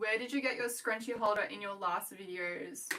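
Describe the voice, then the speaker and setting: The woman's tone is bright and sharp, with ordinary pitch variation. She speaks at a fairly slow pace. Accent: Australian. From Australia. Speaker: small business owner, scrunchie maker. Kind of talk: casual livestream chat. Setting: home livestream, working while talking.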